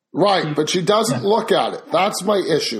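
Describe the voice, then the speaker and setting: Lively intonation marks a man speaking at a moderate pace. Audible room echo surrounds the voice. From Canada. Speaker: podcast host. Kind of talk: interview.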